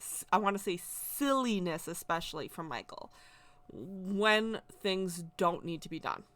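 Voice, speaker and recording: In a very clean recording with a silent background, a soft-spoken woman talks fairly slowly at a medium pitch with ordinary pitch variation. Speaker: spiritual content creator, witch. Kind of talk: personal testimony. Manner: loud at times.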